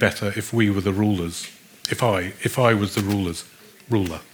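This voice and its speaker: A man in a British accent talks at a moderate pace over noticeable background noise. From Britain. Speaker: philosophy professor. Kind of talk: lecture.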